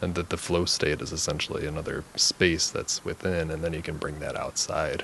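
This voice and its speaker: A man talks at a moderate pace with hardly any pauses, over noticeable background noise. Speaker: podcast host and counselor. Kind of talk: casual interview chat. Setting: recording studio.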